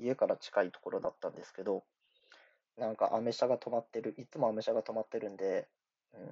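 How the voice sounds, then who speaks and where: Words come from this man at a very fast pace. The volume rises and falls in big swings. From Japan, Iwate. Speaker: podcaster and amateur rapper. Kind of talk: casual solo monologue. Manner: rambling, filler-heavy.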